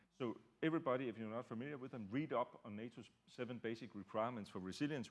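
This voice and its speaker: This man talks very fast at medium pitch with ordinary pitch variation. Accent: Danish. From Denmark. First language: Danish. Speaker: security researcher. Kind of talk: panel discussion. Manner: halting, many fillers.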